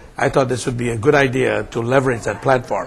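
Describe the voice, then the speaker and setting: A man is heard with noticeable background noise. The room echo is audible. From India. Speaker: nonprofit executive director. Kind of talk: interview. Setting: conference.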